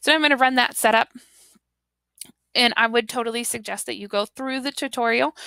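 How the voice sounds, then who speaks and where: A woman with a bright, sharp tone speaks at a fairly quick pace in a dry, close sound with no echo. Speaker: teacher trainer. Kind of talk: tutorial. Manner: casual, with fillers.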